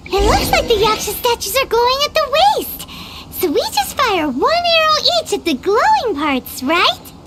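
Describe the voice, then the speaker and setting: A squeaky, put-on character voice at an extremely high pitch, with very wide pitch swings, a moderate pace and loud background noise. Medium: video game.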